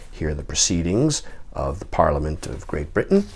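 A man speaks with a very deep, low pitch. Light background noise can be heard. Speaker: book seller. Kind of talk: product demonstration commentary. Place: home room.

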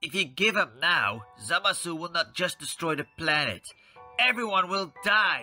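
A put-on character voice at a middle pitch speaks over faint background music. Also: moderate pace.

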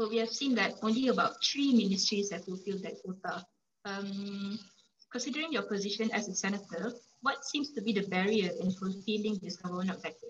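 Somewhat breathy and with ordinary pitch variation, a woman speaks over light background noise. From Malaysia. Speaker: student podcast host; host interviewer. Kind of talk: interview. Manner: halting. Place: home room. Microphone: video call.

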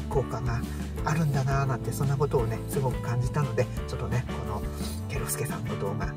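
A man speaks at a very fast pace over loud music in the background, the sound dry with no echo. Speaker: vlogger. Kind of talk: casual vlog chat. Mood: cheerful, smiling. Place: car. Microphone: phone near.

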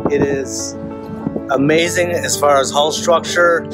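A man speaking very slowly, dry sound with no echo, loud music in the background. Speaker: boat owner vlogger. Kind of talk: casual vlog chat. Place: open country. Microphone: phone near.

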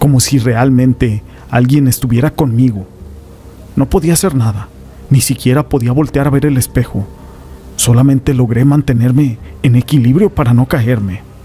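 A man talks at a moderate pace with medium pitch, ordinary pitch variation, and very even loudness. Long, frequent pauses break his speech over noticeable background noise. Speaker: horror story narrator.

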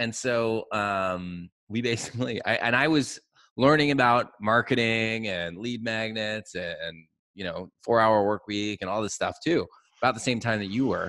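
A man's medium-pitched voice, bright and sharp in tone, at a fairly slow pace with ordinary pitch variation, in a dry sound with no echo over a quiet background. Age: 40s. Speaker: podcast host, agency owner; podcast host. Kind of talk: casual interview chat. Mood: amused, laughing, relaxed. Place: studio. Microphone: studio mic.

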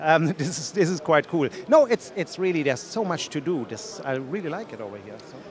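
A man with a German accent talks at a fairly quick pace with hardly any pauses, his fairly high voice making very wide pitch swings and big swings in loudness over light background noise. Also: dry sound with no echo. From Germany. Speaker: tech company evangelist. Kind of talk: casual interview. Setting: conference floor. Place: hall. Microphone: handheld.

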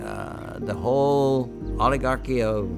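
There is clear music in the background behind a man's voice. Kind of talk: interview answer. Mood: reflective, reminiscing. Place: home room.

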